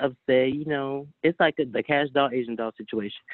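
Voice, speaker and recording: A man speaks at a fairly quick pace with an American accent, his pitch fairly high and his voice an ordinary speaking voice. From Chicago. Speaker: rapper. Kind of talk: casual chat.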